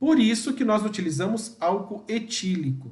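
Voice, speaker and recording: A high-pitched man's voice with lively intonation and audible room echo. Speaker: perfumer and pharmacist trainer. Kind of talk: live training session. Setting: livestream.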